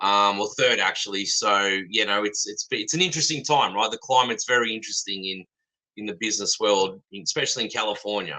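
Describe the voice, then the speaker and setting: At a fairly quick pace, a man talks with an Australian accent. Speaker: fence supplier. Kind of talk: casual chat.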